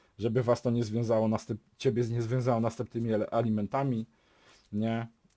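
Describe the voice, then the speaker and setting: A man speaks in a dark, mellow tone at a fairly quick pace. The recording is very clean, with a silent background. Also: dry, close sound with no echo. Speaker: YouTuber giving relationship advice. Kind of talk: casual monologue vlog.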